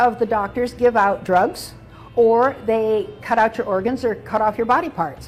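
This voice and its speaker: A woman with a fairly high voice and ordinary pitch variation can be heard, with noticeable noise in the background. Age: 80s+. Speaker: physician and health speaker. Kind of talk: interview.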